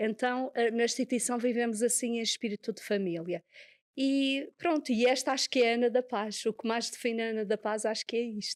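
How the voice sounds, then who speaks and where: With a Madeiran accent, a woman speaks fairly quickly at a fairly high pitch with fairly even intonation, in a dry, close sound with no echo on a very clean recording with a silent background. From Madeira, Portugal. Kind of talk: interview.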